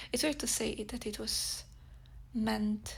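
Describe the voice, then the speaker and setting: With a Polish accent, a woman speaks at a fairly slow pace. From Poland. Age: 30s. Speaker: podcast host, spiritual practitioner. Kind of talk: casual monologue podcast. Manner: halting with fillers.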